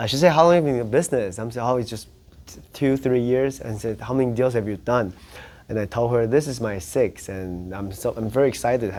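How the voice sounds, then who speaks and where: A man with a Taiwanese accent speaks at a fairly quick pace and medium pitch. His pitch varies in an ordinary way while his loudness swings widely. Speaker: real estate agent. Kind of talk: interview storytelling. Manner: halting, frequent self-repetitions.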